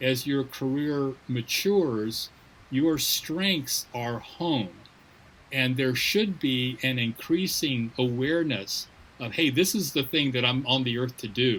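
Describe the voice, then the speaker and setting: At a very slow pace, a man talks with a medium pitch and ordinary pitch variation. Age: 60s. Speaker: missions leader. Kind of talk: interview.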